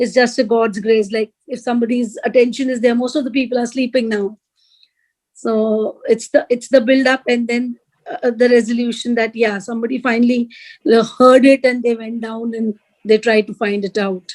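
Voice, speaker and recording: Her fairly high voice holds a monotone, flat intonation. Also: moderate pace. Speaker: workshop participant, language teacher. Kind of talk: casual storytelling in workshop discussion. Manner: soft-spoken; halting.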